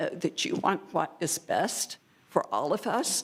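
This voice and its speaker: A woman talks at a fairly slow pace with vocal fry. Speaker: public commenter. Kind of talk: public comment at meeting. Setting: city commission meeting.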